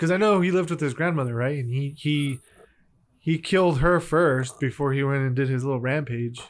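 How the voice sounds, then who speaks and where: Recorded very cleanly against a silent background, a man with an American accent speaks fairly quickly in an unremarkable speaking voice, his pitch fairly high with ordinary pitch variation. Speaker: podcast co-host. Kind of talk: casual banter, comedy chat. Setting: studio booth. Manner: joking, playful.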